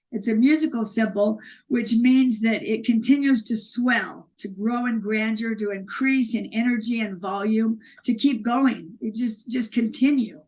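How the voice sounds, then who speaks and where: A woman speaks at a fairly slow pace in a fairly high pitch, somewhat breathy and with fairly even intonation. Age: 60s. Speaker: author and speaker. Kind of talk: interview conversation. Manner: halting, many restarts.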